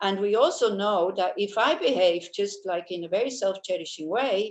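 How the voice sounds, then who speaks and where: A woman speaks in a Swiss accent with lively intonation and a fairly high pitch. Her pace is moderate. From Switzerland. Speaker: Buddhist teacher. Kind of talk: dharma talk. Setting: video call.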